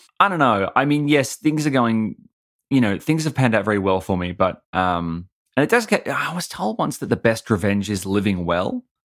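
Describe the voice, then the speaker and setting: A man with an Australian accent talks at medium pitch and a moderate pace with lively intonation, in a very clean recording with a silent background. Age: 30s. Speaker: comedian and podcaster. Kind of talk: interview.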